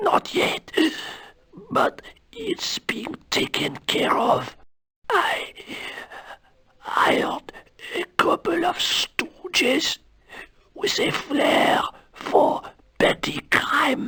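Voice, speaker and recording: Whispering in a raspy, put-on character voice, the speaker goes at a very slow pace with long, frequent pauses. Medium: video game.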